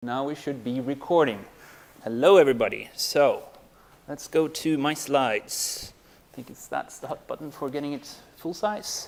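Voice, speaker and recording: In a plain, everyday voice, a man speaks at a moderate pace and fairly high pitch, with ordinary pitch variation and big swings in loudness. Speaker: university lecturer. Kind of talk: lecture.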